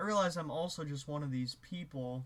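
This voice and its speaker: A man's voice comes through somewhat breathy. He keeps a moderate pace at a fairly high pitch. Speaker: musician and video creator. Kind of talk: casual monologue to camera. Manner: hesitant, many filler words and restarts.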